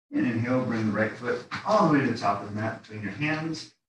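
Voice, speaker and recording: Pitch varies in an ordinary way as a man talks. His pace is moderate. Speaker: yoga instructor. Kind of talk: guided yoga class. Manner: calm; relaxed.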